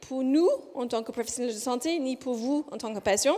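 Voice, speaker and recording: With a high pitch, a woman speaks, her voice moving up and down in an ordinary way. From Australia. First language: English (speaking French). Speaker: physiotherapist researcher. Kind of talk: conference presentation. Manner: deliberately slow; hesitant, many fillers.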